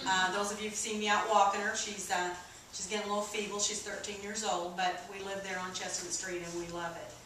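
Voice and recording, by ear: Talking at a fairly quick pace with little pitch movement, a woman with an American accent has a medium pitch, and audible room echo surrounds her voice.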